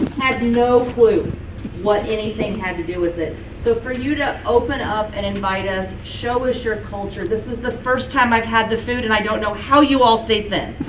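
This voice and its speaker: Moderately paced speech from a woman with a fairly high voice, amid noticeable background noise and audible room echo. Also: ordinary pitch variation. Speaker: leadership program participant. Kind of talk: informal thank-you remarks. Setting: event hall with audience, no mic. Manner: loud.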